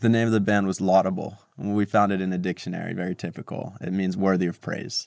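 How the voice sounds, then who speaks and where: A man talks at a very fast pace in a very deep, low voice with a New Jersey accent, hardly pausing at all. His intonation is monotone and flat, and the sound is dry and close with no echo. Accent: New Jersey American. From New Jersey, US. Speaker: tech entrepreneur. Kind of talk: interview.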